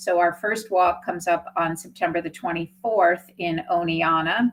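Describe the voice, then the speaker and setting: Her pitch is fairly low, and her intonation fairly even, in a normal speaking voice. This woman keeps a moderate pace. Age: 60s. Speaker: nonprofit executive director. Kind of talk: interview.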